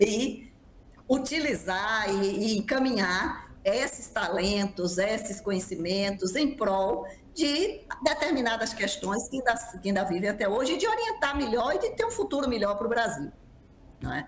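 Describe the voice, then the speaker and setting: Over noticeable background noise, a woman talks at a fairly slow pace. Her pitch is fairly high and her intonation lively. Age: 60s. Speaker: panel moderator. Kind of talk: panel discussion.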